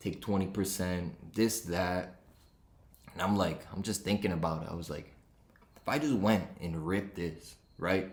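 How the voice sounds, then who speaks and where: A man's very deep, low pitch in a Rhode Island accent, animated in tone, with audible room echo. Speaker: sports betting podcaster. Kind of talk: casual podcast monologue.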